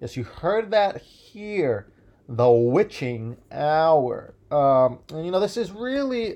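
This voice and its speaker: A very slow man with an American accent, fairly high in pitch, dark and mellow in tone, with very wide pitch swings. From US Midwest. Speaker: solo podcaster. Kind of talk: casual monologue. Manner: halting, many fillers.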